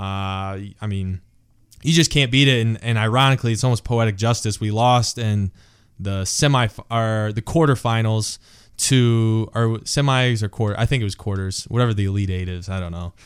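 A man with an ordinary speaking voice speaks at a medium pitch and moderate pace with ordinary pitch variation. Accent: American. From Big Rapids, Michigan, US. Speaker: former college football player. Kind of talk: casual interview chat.

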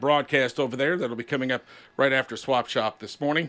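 A man with an American accent talks at a fairly quick pace. His fairly high pitch has a bright, sharp tone. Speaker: radio host. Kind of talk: casual radio call-in chat.

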